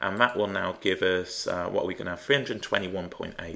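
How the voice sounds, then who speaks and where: A man speaks with an English accent. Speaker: maths teacher. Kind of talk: tutorial. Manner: thinking out loud, hesitant.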